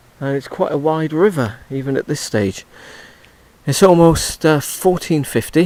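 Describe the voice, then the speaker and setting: Talking at a fairly slow pace, a man with an English accent uses a fairly high pitch and ordinary pitch variation. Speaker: touring cyclist. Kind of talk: audio diary. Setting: outdoors. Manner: halting; soft-spoken.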